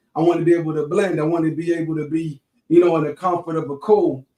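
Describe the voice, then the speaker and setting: Speaking at a very fast pace with a Georgia accent, a man holds a high pitch in monotone, flat intonation. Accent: Southern US, Georgia. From US South, Savannah, Georgia. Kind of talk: interview. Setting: live stream interview. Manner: casual, conversational with fillers.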